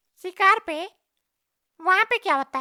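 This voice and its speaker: This is a cartoonish character voice at an extremely high pitch. It sounds squeaky. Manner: questioning, puzzled.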